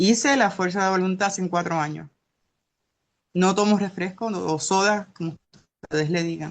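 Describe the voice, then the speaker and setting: A woman's medium-pitched voice at a moderate pace, with ordinary pitch variation and long, frequent pauses, over a quiet background. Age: 60s. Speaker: class participant. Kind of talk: testimony.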